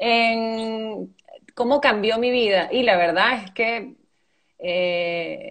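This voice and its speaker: A woman speaks very slowly. Her pitch is fairly high, with ordinary pitch variation. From Venezuela, raised by Argentine parents. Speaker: actress. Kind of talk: interview. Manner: hesitant, many fillers.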